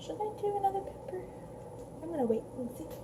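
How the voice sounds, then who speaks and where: A soft-spoken whisper at a moderate pace, with noticeable background noise. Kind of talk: ASMR cooking video, casual rambling talk to camera. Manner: soft-spoken, whispery, rambling.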